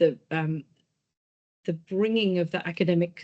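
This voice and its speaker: This woman's voice has a dark, mellow tone. Her pitch sits fairly low. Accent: British. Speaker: policy institute chief executive. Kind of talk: presentation.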